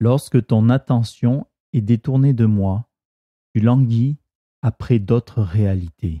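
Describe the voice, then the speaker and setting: Speaking at a very slow pace with long, frequent pauses, a man uses a gentle, calm tone at medium pitch, with ordinary pitch variation, very even loudness and a dry, close sound with no echo. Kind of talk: guided meditation; reading aloud of devotional text and scripture. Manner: slow, calm, soothing; gentle, reverent, measured.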